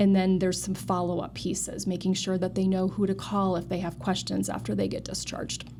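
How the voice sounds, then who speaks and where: Noticeable background noise is present throughout. A woman talks over it at a fairly quick pace. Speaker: nurse and clinical research director. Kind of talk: interview. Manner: fast.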